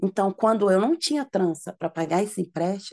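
This woman's voice has a dark, mellow tone and ordinary pitch variation at a moderate pace. The sound is dry and close, with no echo. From Minas Gerais, Belo Horizonte. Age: 30s. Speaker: braiding entrepreneur and former prisoner. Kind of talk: interview.

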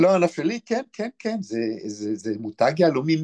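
Dry and close with no echo, a man's fairly high voice moves at a moderate pace with very wide pitch swings. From Israel, Be'er Sheva. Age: 60s. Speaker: author and historian. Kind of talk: interview.

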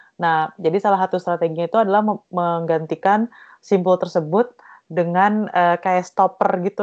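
A woman's fairly slow, monotone delivery with flat intonation and fairly low pitch. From East Java, Indonesia. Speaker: textile design researcher. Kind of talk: interview.

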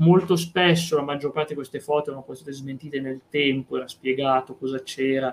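A man with an unremarkable speaking voice talks in a fairly high pitch with fairly even intonation and big swings in loudness. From Piedmont, Italy (Vercelli). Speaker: podcast host. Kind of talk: casual chat. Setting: live stream.

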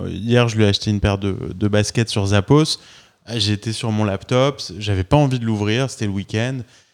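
A man with an unremarkable speaking voice talks at a moderate pace, with a fairly low pitch and fairly even intonation. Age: 40s. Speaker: podcast host and entrepreneur. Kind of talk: interview. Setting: office.

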